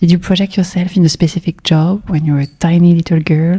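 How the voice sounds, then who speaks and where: A woman with a French accent speaks at a fairly quick pace in a fairly low, somewhat breathy voice with a dark, mellow tone, the sound dry and close with no echo. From France. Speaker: podcast host. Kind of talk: interview.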